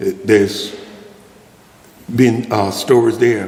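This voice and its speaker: Speaking at a fairly slow pace with a Mississippi accent, a man is heard amid noticeable background noise and audible room echo. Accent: US Southern, Mississippi. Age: 70s. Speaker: food pantry kitchen manager, former restaurant manager. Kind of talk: storytelling talk to an audience. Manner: halting, many fillers and repeats.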